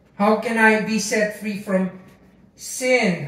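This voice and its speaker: A man with a Filipino accent speaks amid audible room echo. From Philippines. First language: Tagalog. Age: 60s. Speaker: pastor. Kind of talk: sermon. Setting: church. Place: home room.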